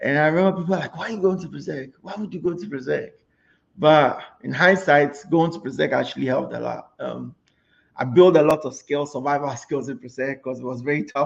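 With vocal fry and big swings in loudness, a man talks at a fairly quick pace in a fairly high pitch with ordinary pitch variation. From Ghana, Kumasi. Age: young. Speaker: risk management consultant. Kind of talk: interview.

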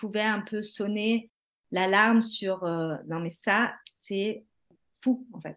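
A woman's calm, fairly high voice with ordinary pitch variation. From France or Germany, bicultural. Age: 30s. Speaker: mother sharing mental health story. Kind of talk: testimony.

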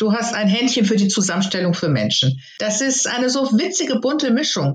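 The speaker is a woman with an unremarkable speaking voice. She talks at a moderate pace. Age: 60s. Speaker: course participant. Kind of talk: interview.

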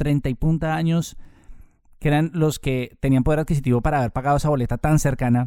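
Ordinary pitch variation and a dark, mellow tone from a man. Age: 30s. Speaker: journalist and radio presenter. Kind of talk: casual interview. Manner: hesitant fillers and repetitions.

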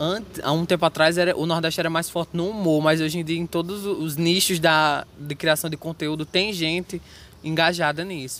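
A man's high voice, flat and monotone, at a fairly quick pace. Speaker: student podcast host. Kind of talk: casual interview. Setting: outdoors in a university square.

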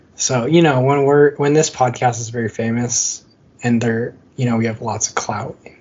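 A man at medium pitch with an American accent, fairly even intonation and a moderate pace, over noticeable background noise. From Michigan, US Midwest. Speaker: beer podcast co-host. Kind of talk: casual chat.

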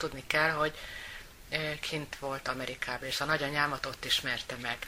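A woman speaks at a fairly quick pace in a very deep, low pitch with ordinary pitch variation. Background noise is noticeable. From Hungary, Győr area. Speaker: sister of guest. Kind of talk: interview.

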